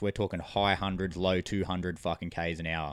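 Speaking very fast with an Australian accent, a man is heard on a very clean recording with a silent background and a dry, close sound with no echo. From New South Wales, Australia. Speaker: coach. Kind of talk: storytelling.

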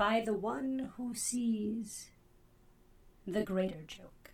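A put-on character voice, female-sounding and fairly high in pitch, at a very slow pace

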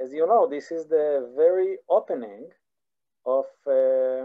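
A man speaks with an Israeli accent. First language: Hebrew. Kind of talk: online lecture. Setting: video call. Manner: halting, many repetitions and fillers.

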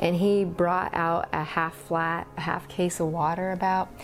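In an American accent, a woman with a fairly low pitch and an ordinary speaking voice talks at a fairly slow pace with fairly even intonation. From Paradise, Northern California. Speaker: elementary school teacher. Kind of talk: testimony.

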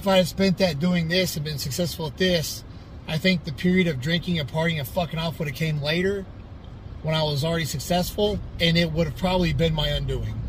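In a room with audible echo, a man with a fairly high voice talks at a fairly quick pace with fairly even intonation. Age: 30s. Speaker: bodybuilder and personal trainer. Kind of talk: casual motivational monologue.

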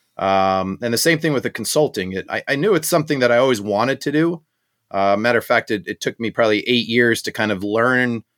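This is an ordinary speaking voice at a fairly quick pace with ordinary pitch variation. The recording is very clean with a silent background. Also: man. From Southern California (born in South Africa, moved 1980). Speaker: marketing and branding entrepreneur. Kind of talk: interview.

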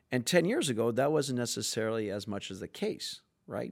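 A man with a medium pitch, lively intonation and a moderate pace has an unremarkable speaking voice in a very clean recording with a silent background. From Canada (French Canadian). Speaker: sales executive. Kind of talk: casual interview chat.

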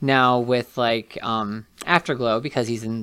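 With an American accent, a man speaks at a fairly slow pace in a medium pitch, using fairly even intonation and an unremarkable speaking voice. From West Virginia, Martinsburg. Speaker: hairstylist and TikTok creator. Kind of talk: casual interview.

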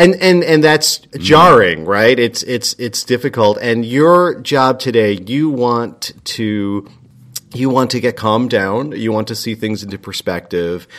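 A man with an unremarkable speaking voice and an American accent, medium in pitch, with lively intonation at a fairly slow pace. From US, Italian American working-class family. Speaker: climate activist. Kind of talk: casual chat.

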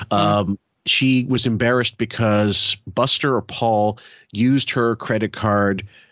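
A man's fairly low voice, a normal speaking voice with ordinary pitch variation, against a quiet background. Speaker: podcast host. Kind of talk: casual chat. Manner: casual, chatty.

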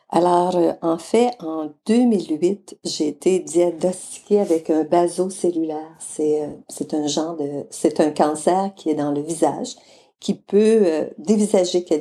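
A woman with a Quebec accent, fairly low in pitch and dark, mellow in tone, at a very slow pace with ordinary pitch variation. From Quebec, Mauricie region. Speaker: charity founder, retired guidance counsellor. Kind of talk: interview.

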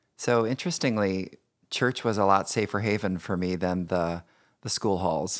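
Here is a man with an American accent, a fairly low pitch, and a normal speaking voice at a moderate pace with ordinary pitch variation. The recording is very clean with a silent background. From Indiana, US Midwest. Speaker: podcast host, author and speaker. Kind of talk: personal storytelling interview.

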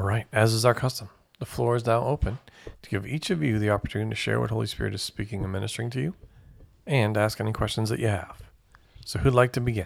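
The man talks at a very fast pace and a medium pitch. Vocal fry runs through his speech, which has ordinary pitch variation. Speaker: Bible study leader. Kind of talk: group Bible study teaching.

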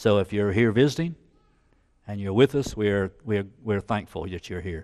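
A man with a Southern US accent talks at a fairly quick pace with lively intonation against a quiet background. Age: 60s. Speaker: church elder preaching. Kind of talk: sermon. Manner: halting, repeats words.

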